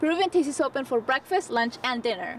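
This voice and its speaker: Noticeable background noise sits behind a woman talking at a very fast pace. Her high pitch carries lively intonation. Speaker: reporter, multimedia journalist. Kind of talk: news feature voiceover.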